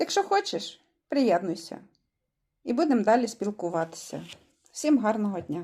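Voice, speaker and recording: A woman's dark, mellow voice at a fairly high pitch, swinging very widely in pitch, at a moderate pace broken by long, frequent pauses. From Ukraine, Vinnytsia region, rural village. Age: 50s. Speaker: vlogger. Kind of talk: motivational sales pitch.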